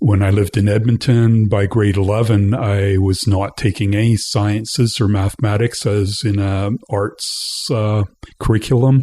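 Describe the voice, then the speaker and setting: A fairly low-pitched man's voice with a western Canadian accent, at a moderate pace, with fairly even intonation, very even loudness and hardly any pauses. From western Canada (British Columbia, Alberta). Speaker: interview guest, community theatre member. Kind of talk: casual interview.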